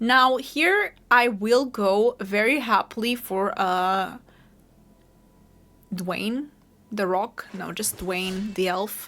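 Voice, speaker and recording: A woman with a Portuguese accent, fairly high pitch and a bright, sharp tone, at a very slow pace with long, frequent pauses and ordinary pitch variation, on a very clean recording with a silent background. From Portugal. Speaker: gaming streamer. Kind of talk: gameplay commentary. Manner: casual, thinking aloud.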